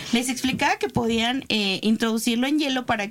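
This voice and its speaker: A woman's plain, everyday voice, fairly high in pitch, at a moderate pace with fairly even intonation. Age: 20s. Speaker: sex shop owner. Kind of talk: casual chat.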